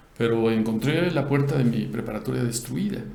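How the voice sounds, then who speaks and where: Moderately paced, medium-pitched male speech, with audible room echo and noticeable background noise. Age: 60s. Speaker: news commentator. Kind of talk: casual political discussion.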